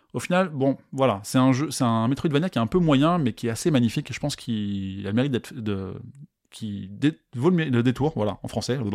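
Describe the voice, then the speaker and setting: A man's ordinary speaking voice at a fairly quick pace, with lively intonation, on a very clean recording with a silent background. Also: medium pitch for a man. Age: 30s. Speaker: podcast host. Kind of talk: casual monologue. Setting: live stream recording.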